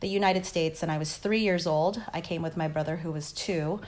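Fairly low female voice in a Californian accent with fairly even intonation. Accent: Californian American English. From Los Angeles, raised by Filipino immigrant parents. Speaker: criminal defense lawyer. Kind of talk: interview.

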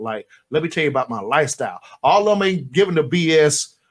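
Here is a man with an unremarkable speaking voice and an American accent. He talks at a fairly quick pace with ordinary pitch variation. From Florida. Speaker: radio co-host and company owner. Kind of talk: casual radio chat.

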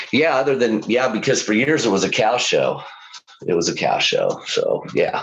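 Over noticeable background noise, a man with an American accent speaks at a moderate pace, with very even loudness. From Kansas. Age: 50s. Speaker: cattle rancher. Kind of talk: casual interview. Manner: halting.

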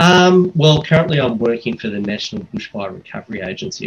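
A man speaks with an Australian accent. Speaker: supply chain specialist, air force officer. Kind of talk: interview podcast. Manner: halting, many fillers.

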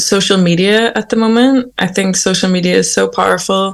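A woman is speaking at a moderate pace. Her voice is somewhat breathy. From Northern Ireland. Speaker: singer-songwriter. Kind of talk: interview. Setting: remote call.

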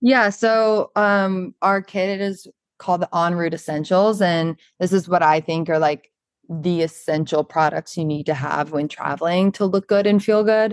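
A woman with an American accent and an ordinary speaking voice speaks at a fairly slow pace and a fairly low pitch, with ordinary pitch variation and a dry, close sound with no echo over a quiet background. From US South, Charleston, South Carolina. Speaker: model and beauty brand founder. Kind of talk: podcast interview.

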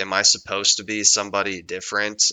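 A man with a plain, everyday voice at fairly low pitch speaks at a fairly quick pace. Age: 20s. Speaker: podcast co-host. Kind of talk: casual chat.

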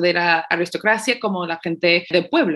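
Here is a woman with a plain, everyday voice at a medium pitch. She talks at a fairly slow pace with ordinary pitch variation. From United States. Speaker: podcast host. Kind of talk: casual chat.

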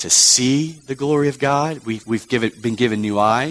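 The delivery is plain reading aloud, with ordinary pitch variation.

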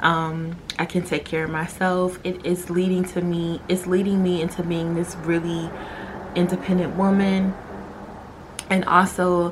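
Through noticeable background noise comes a woman's fairly low voice. She speaks at a fairly slow pace in a monotone, flat way. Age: 20s. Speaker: podcast host. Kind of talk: personal monologue.

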